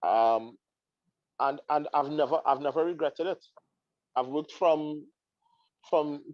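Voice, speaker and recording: A man with a Trinidadian accent speaks slowly in a fairly high voice, with fairly even intonation and long, frequent pauses. The sound is dry and close, with no echo. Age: 30s. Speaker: counseling psychologist. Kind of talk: interview. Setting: live stream. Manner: halting.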